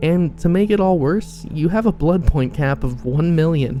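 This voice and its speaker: With music playing underneath, the speech moves at a moderate speed. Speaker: gaming YouTuber. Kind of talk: casual gaming commentary to camera.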